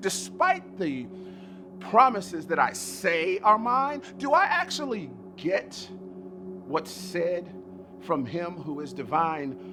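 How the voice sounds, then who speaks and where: Over music in the background, a man talks at a very slow pace with long, frequent pauses. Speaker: spoken word poet. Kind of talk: spoken word poetry performance.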